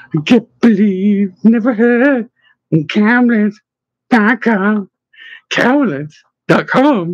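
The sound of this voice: A put-on character voice, sing-song and slow, with lively intonation. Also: man, high pitch for a man.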